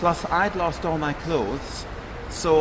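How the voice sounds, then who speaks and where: Amid noticeable background noise and audible room echo, a man with a Scottish accent speaks at a fairly high pitch. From Scotland. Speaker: former flight attendant, ex-hostage. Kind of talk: interview.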